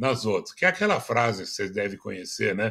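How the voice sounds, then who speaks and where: This very clean recording with a silent background captures a man whose medium-pitched voice has a bright, sharp tone. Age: 80s+. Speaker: business consultant and speaker. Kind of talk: interview. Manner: halting, many fillers.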